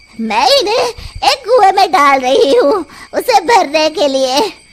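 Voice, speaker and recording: A cartoonish character voice at an extremely high pitch moves through very wide pitch swings at a fairly slow pace. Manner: cackling.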